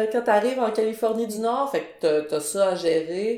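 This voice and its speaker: A woman's dark, mellow voice with lively intonation and audible room echo. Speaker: graphic designer and illustrator. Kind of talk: podcast interview.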